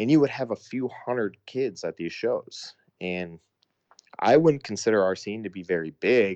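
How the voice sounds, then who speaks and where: Over a quiet background, a man with an unremarkable speaking voice talks at a fairly slow pace with ordinary pitch variation, in a dry, close sound with no echo. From US Midwest, Sioux Falls, South Dakota. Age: 30s. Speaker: hardcore band vocalist. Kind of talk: casual interview chat.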